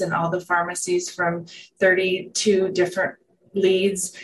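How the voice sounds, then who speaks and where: A woman speaks in a somewhat breathy voice. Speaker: wellness center manager and former business owner. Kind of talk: casual interview chat.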